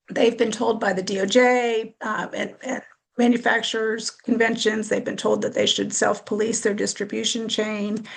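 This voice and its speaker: At a moderate pace, a woman talks in a fairly high, monotone voice with flat intonation and vocal fry. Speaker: lawyer working on gun litigation. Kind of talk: webinar presentation. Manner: halting, many fillers.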